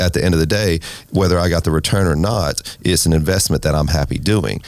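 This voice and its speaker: Talking at a very fast pace in an American accent, a man with a very deep, low pitch shows ordinary pitch variation amid noticeable background noise. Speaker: restaurant owner and race team owner. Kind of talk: interview.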